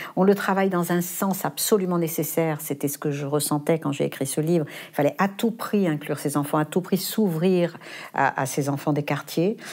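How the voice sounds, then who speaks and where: A normal speaking voice, its pitch varying in an ordinary way, delivered at a moderate pace. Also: woman, fairly low pitch for a woman. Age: 60s. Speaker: philosophy teacher and foundation head. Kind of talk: interview.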